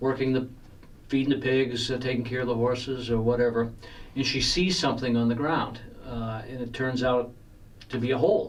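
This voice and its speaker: The speech moves at a fairly quick pace but breaks into long, frequent pauses, with fairly even intonation. Audible room echo and noticeable background noise fill the recording. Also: man, medium pitch for a man. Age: 60s. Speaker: horror author. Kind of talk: radio interview.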